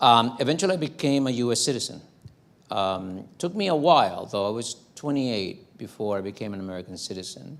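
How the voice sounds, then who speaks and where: A man with a Spanish accent speaks at a fairly quick pace and medium pitch. His voice makes very wide pitch swings amid audible room echo. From Dominican Republic, then New York from age 12. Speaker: professor. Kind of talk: lecture. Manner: halting, many fillers.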